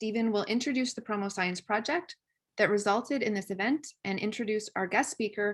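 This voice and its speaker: An unremarkable speaking voice from a woman at a moderate pace. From Canada. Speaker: webinar moderator. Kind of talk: formal webinar introduction. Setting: video call. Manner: formal.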